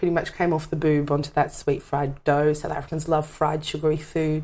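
The recording is very clean, with total silence behind the voice. A woman talks rather quickly. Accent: Australian. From Western Sydney, Australia. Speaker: performer and teacher. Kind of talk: casual chat.

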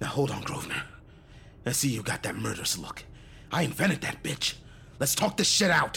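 Using a put-on character voice at a fairly high pitch, a man talks at a fairly quick pace with long, frequent pauses over clear background noise. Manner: foul-mouthed, mocking, cocky.

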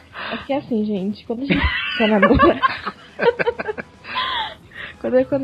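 Against noticeable background noise, a woman speaks in a high pitch. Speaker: voice actress. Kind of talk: casual chat.

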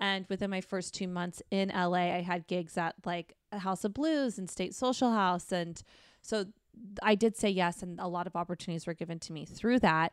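A woman with an American accent talks at a moderate pace in an ordinary speaking voice, at medium pitch with ordinary variation. The recording is very clean and dry, with a close sound, no echo and a silent background. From Arizona. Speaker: comedian. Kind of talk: casual chat.

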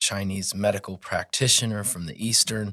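A man with an American accent talks at a fairly low pitch on a very clean recording with a silent background. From northern Colorado. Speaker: massage therapist. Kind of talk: casual interview chat.

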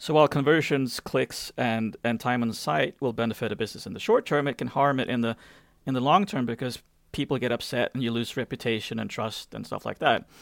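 In a very clean recording with a silent background and a dry, close sound with no echo, a man with an unremarkable speaking voice and medium pitch talks at a fairly quick pace with ordinary pitch variation. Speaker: podcast co-host. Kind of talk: casual interview.

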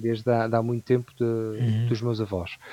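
Dark, mellow tone in a dry, close recording with no echo. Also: man. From Portugal, Ribatejo. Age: 30s. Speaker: barbecue educator. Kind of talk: casual interview chat. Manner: halting, many fillers.

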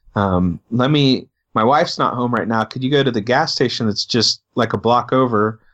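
A man's plain, everyday voice with an American accent, medium pitch, ordinary pitch variation and a moderate pace. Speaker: podcast co-host. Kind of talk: casual chat.

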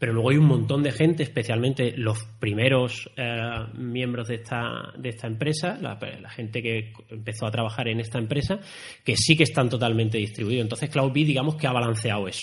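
A man speaks at a fairly quick pace in a somewhat breathy voice. His loudness swings widely. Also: medium pitch for a man, ordinary pitch variation. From Spain, Andalusia (Málaga, San Pedro de Alcántara). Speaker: software engineering manager. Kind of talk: interview conversation. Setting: university recording room.

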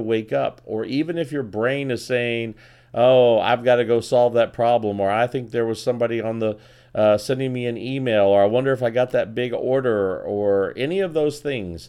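The background is quiet as a man at medium pitch speaks at a moderate pace. His tone is upbeat and energetic, with ordinary pitch variation. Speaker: sales podcast host. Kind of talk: pep talk. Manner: motivational, energetic, direct; upbeat, conversational with humor.

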